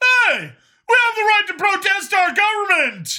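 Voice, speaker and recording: This put-on character voice is pitched extremely high. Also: moderate pace. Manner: growling, defiant.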